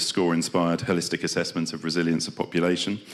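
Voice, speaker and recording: A man with a British accent and a very deep, low pitch, in a very clean recording with a silent background. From Britain. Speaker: development programme representative. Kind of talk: conference presentation. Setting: conference stage with audience. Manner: hesitant with fillers.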